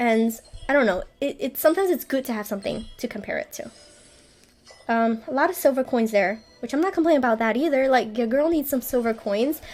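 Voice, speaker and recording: A woman's nervous, high-pitched voice at a fairly quick pace, with lively intonation and music in the background. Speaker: gaming YouTuber. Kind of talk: casual gameplay commentary. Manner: stuttering, hesitant with fillers; nervous rambling.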